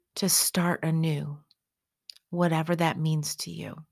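In a very clean recording with a silent background, the voice keeps a monotone, flat intonation. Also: woman. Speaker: meditation guide. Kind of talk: guided meditation. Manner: soft-spoken; slow, calming.

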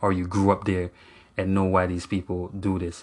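A man speaks with a fairly low voice against a quiet background. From Jamaica. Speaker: podcast host. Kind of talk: solo podcast monologue. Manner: halting.

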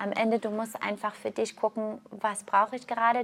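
Her pitch sits fairly high for a woman. She talks at a moderate pace. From Canada. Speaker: yoga teacher and health coach. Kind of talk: casual interview.

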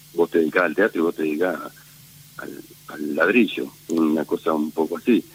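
Recorded dry and close with no echo and with noticeable background noise, a man speaks at a moderate pace in a Rioplatense accent. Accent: Argentine Spanish (rioplatense). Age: 50s. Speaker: theatre director. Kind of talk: interview. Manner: halting, many fillers.

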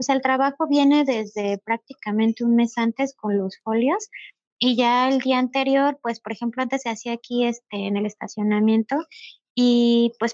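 A fairly high-pitched woman in a monotone, flat intonation, with a dry, close sound and no echo. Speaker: animal rescue shelter founder. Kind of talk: casual interview.

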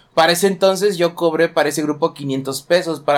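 In a very clean recording with a silent background, a man with an ordinary speaking voice talks at a moderate pace, fairly high in pitch, with ordinary pitch variation. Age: 20s. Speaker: youtuber and sports bettor. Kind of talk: solo podcast monologue. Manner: casual, with fillers.

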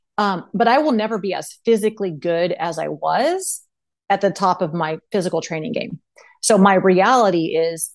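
A woman with a normal speaking voice and an American accent talks at a medium pitch. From Texas (Austin). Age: 40s. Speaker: mental performance coach and former volleyball player. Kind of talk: casual interview chat.

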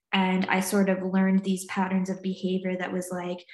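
With an American accent, a woman of medium pitch speaks in a somewhat breathy voice. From US South, North Carolina and Virginia. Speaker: trauma and recovery coach. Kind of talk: casual interview chat.

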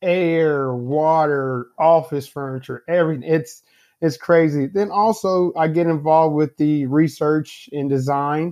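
A man talks at a fairly slow pace with fairly even intonation and a fairly high pitch. He has a plain, everyday voice. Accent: American. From US Midwest, Indianapolis, Indiana. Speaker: engineering director. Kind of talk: casual interview.

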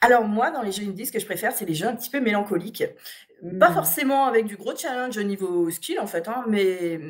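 With lively intonation and a fairly quick pace, a woman speaks in an ordinary speaking voice at a fairly high pitch. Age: 30s. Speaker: gamer and video game blogger. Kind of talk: casual interview.

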